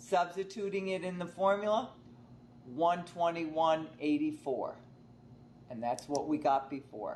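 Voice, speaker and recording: A woman speaks with a fairly low pitch. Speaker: college math instructor. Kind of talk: tutorial.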